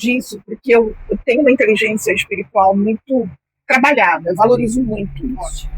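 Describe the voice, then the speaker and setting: A normal speaking voice at a moderate pace, with a dry, close sound and no echo. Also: woman. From Brazil, Belém do Pará. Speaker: journalist and mentor. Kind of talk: interview.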